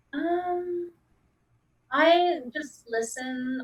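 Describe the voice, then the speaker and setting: A woman speaks quietly with ordinary pitch variation in a very clean recording against a silent background. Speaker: client. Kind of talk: counseling session.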